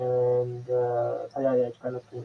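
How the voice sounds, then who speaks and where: A man is speaking. He has a non-native accent. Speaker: software developer and course creator. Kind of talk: conference talk. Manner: halting with many fillers and self-corrections.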